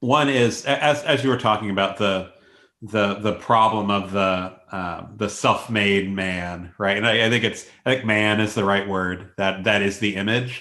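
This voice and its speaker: A gravelly male voice, fairly slow, with fairly even intonation. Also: fairly low pitch for a man. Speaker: professor and podcast co-host. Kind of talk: casual academic conversation and interview.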